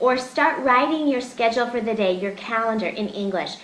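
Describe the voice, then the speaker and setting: A woman speaks at a moderate pace in a high voice. Room echo is audible, and background noise is noticeable. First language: Russian. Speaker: English teacher. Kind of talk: webinar discussion. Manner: hesitant, with fillers.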